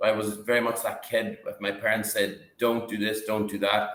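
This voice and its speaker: A man's fairly low voice in an Irish accent, at a moderate pace, with audible room echo. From northwest Ireland. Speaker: company CEO. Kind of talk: interview. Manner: halting.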